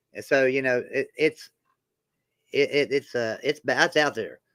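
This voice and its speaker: A man speaks in a strong West Virginia accent at a moderate pace. The sound is dry and close, with no echo. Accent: thick West Virginia country. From Roanoke, Virginia and Beckley, West Virginia. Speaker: sports channel host. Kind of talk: casual live-stream chat.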